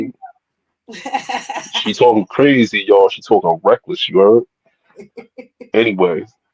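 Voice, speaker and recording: Speaking fairly slowly with long, frequent pauses, a man shows big swings in loudness, the sound dry and close with no echo. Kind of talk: informal slang. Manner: casual, teasing banter.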